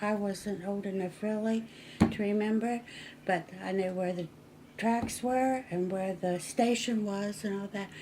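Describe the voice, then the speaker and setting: Speaking at a fairly slow pace, a woman with an American accent has a medium pitch, ordinary pitch variation, a dark, mellow tone and a somewhat breathy sound. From western Maryland, small mining town. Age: 80s+. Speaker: local resident sharing town history. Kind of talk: oral history interview. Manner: conversational, slightly halting.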